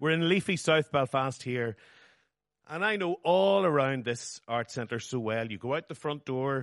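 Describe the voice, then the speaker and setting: In a Northern Irish accent, a man talks at a moderate pace with lively intonation, recorded in a dry, close sound with no echo against a quiet background. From Northern Ireland. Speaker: writer. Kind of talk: reading aloud. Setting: stage with audience.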